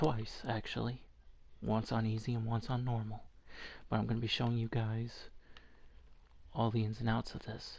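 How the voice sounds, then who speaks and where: A quiet, somewhat breathy male voice at medium pitch, monotone and flat, moving at a moderate pace with long, frequent pauses. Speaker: gaming video creator. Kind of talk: let's play commentary. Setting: at home early morning, others asleep. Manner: quiet, subdued.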